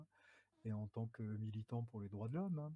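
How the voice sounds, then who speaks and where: A man with a medium-pitched, somewhat breathy voice and a dark, mellow tone is recorded with a dry, close sound and no echo. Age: 60s. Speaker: human rights activist, observer. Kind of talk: interview. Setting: video call. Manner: hesitant.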